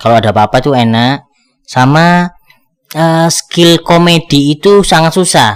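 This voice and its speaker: Speaking at a fairly slow pace, a man uses a strong Madurese accent. His pitch is fairly high and his intonation lively. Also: very even loudness. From East Java, Surabaya. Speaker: stand-up comedian and actor. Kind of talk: interview. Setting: newsroom studio.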